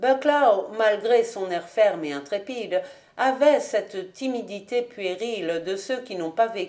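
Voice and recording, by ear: A natural voice, reading aloud.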